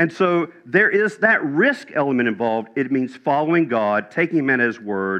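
The delivery is an unforced reading voice. It reads aloud without strain.

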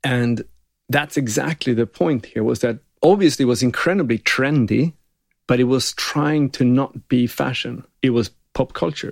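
A man speaks with a Swedish accent and ordinary pitch variation. His loudness stays very even in a dry, close sound with no echo. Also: medium pitch for a man, moderate pace. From northern Sweden (Gällivare, Lapland). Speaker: advertising creative director. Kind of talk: interview conversation.

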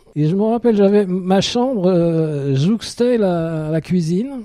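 Lively in intonation, a man's high-pitched voice carries a dark, mellow tone. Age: 60s. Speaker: retiree. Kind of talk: interview. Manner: halting.

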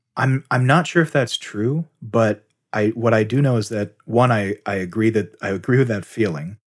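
A man talks at a moderate pace with medium pitch, ordinary pitch variation and an unremarkable speaking voice. The recording is very clean and dry, close with no echo, over a silent background. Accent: American. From Texas. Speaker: podcast host and Japanese scholar. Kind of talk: casual chat.

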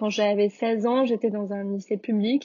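Her intonation flat and monotone, a woman talks at a medium pitch. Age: 20s. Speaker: food entrepreneur. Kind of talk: interview.

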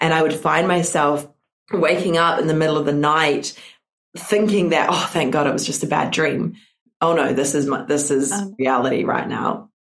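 A woman with a New Zealand accent speaks at a moderate pace in a very deep, low pitch. Her loudness is very even, and her pitch variation is ordinary. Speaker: business and mindset coach. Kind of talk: interview testimony. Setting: video call.

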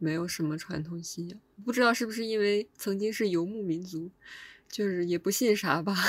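An unremarkable speaking voice at a fairly quick pace, with ordinary pitch variation. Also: woman, medium pitch for a woman. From Hulunbuir, eastern Inner Mongolia. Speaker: podcast co-host. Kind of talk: casual chat.

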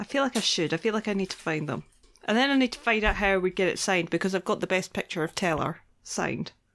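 With a Scottish accent, a woman speaks very fast at medium pitch. Her intonation is lively, and the recording is very clean with a silent background. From Scotland. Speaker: podcast co-host. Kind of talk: casual chat.

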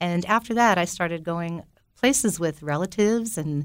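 A woman with an American accent uses an ordinary speaking voice, fairly low in pitch with ordinary pitch variation, at a moderate pace in a very clean recording with a silent background. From US Northeast (Belleville, New Jersey). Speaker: tree planter and safari leader. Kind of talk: interview. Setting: studio.

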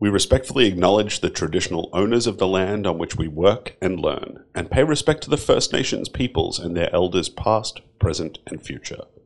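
Fairly quick, lively speech with hardly any pauses from a man of fairly low pitch with an Australian accent. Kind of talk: scripted announcement.

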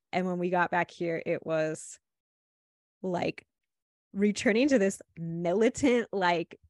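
Recorded very cleanly against a silent background, a woman with an American accent speaks at a very slow pace. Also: dry, close sound with no echo. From Ohio, US Midwest. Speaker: life coach and podcaster. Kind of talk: casual chat.

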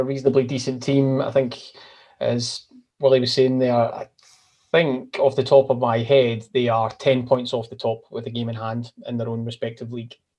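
A man with a Scottish accent speaks at a medium pitch in a dark, mellow tone with fairly even intonation. His loudness swings a lot, and he leaves long, frequent pauses. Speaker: football podcast co-host. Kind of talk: casual football discussion.

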